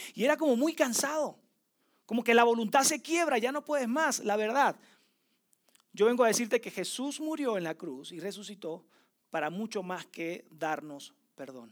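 In a very clean recording with a silent background, a man speaks at an extremely high pitch with very wide pitch swings. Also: moderate pace, big swings in loudness. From Venezuela. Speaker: preacher. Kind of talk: sermon.

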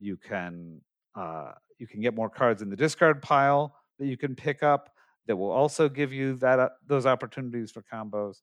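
Over a quiet background, a man talks at a moderate pace in an ordinary speaking voice at medium pitch. His intonation is lively, and his loudness swings widely. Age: 50s.

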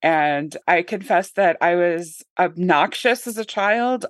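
A woman with an ordinary speaking voice, medium pitch and ordinary pitch variation, in a dry, close sound with no echo against a quiet background. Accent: American. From US South, northern Arkansas. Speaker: political science professor. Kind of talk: casual interview.

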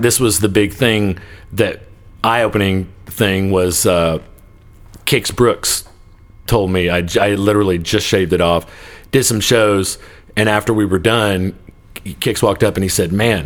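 Speaking at a moderate pace with a Texan accent, a man with a fairly low pitch keeps his loudness very even, uses ordinary pitch variation, and leaves long, frequent pauses. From Texas (Joshua / Godley area). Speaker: bass player. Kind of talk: casual chat.

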